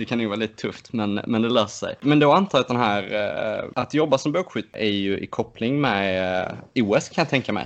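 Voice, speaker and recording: A plain, everyday voice talks at a moderate pace with hardly any pauses. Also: man, medium pitch for a man, lively intonation. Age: 20s. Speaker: podcast co-host, archer. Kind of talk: casual chat.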